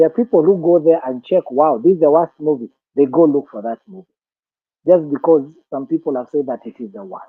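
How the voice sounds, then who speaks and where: Fairly high pitch from a man at a fairly quick pace, with ordinary pitch variation. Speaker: film industry trainer. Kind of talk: lecture.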